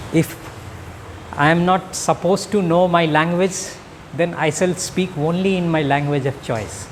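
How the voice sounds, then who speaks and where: With a Bihar accent and high pitch, a man speaks at a moderate pace with fairly even intonation and long, frequent pauses over noticeable background noise. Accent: Indian English (Bihar). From India, Bihar. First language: Magahi. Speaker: academic speaker. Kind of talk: public speech.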